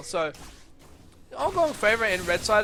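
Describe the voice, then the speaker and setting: A man speaks at a moderate pace over music in the background. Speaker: amateur esports caster. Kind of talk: live game commentary. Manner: quieter, keeping voice down.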